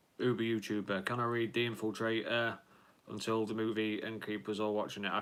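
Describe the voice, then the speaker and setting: This man's voice sits at a medium pitch, bright and sharp in tone, with fairly even intonation. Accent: English. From Lincolnshire, England. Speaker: YouTuber, film fan live streamer. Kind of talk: live stream chat, reading viewer comments. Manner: casual, hesitant with fillers.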